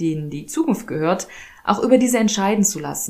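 A woman speaks with a dark, mellow tone at a moderate pace. Her intonation is lively. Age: 30s. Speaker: podcast host. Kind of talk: solo monologue.

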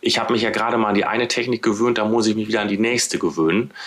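A man talks fairly quickly in a fairly low voice, with noticeable noise behind him. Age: 40s. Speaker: head of corporate communications. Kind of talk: interview. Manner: halting, many filler words.

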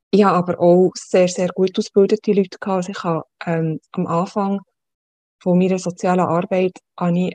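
Speaking with a Swiss accent, a woman keeps a medium pitch and a moderate pace. Her intonation is monotone and flat. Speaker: social worker. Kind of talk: interview.

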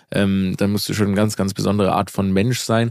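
Fairly quick speech with fairly even intonation comes through a very clean recording with a silent background. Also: man. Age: 30s. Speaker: comedian. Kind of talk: casual chat.

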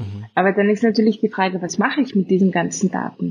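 This woman has a slight Austrian accent. Her voice is somewhat breathy. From Austria, Vienna. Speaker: biotech co-founder, molecular biologist. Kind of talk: interview conversation. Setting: remote call from Vienna.

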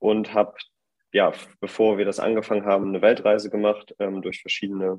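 The speaker is a man. He talks at a moderate pace. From northern Germany, Bremen. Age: 20s. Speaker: fashion brand co-founder. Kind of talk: interview. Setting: online call. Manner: hesitant, many fillers.

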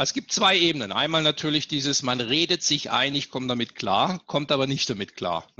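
With vocal fry and a bright, sharp tone, a man with fairly high pitch speaks at a moderate pace using lively intonation. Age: 50s. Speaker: leadership speaker and author. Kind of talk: interview. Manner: animated.

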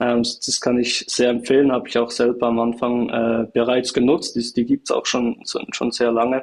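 A man talks at a moderate pace and medium pitch, with hardly any pauses and very even loudness. His intonation is monotone and flat, and there is noticeable background noise. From Switzerland, small village. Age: 20s. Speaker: startup founder and CEO. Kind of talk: interview. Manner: hesitant, many filler sounds.

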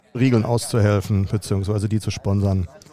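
This is a man speaking. His pitch is fairly low. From Germany, Dortmund. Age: 50s. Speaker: football team manager. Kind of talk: interview.

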